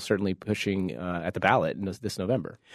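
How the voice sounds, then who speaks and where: Over a quiet background, a man speaks at a very fast pace with fairly low pitch. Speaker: attorney and panelist. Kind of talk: news panel discussion.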